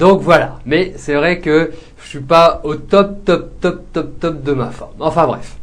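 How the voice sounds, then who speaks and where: A man with a high voice speaks very slowly, his loudness swinging widely while his intonation stays fairly even. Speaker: psychic tarot reader show host. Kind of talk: live psychic reading show. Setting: live webcam show. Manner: hesitant, many fillers.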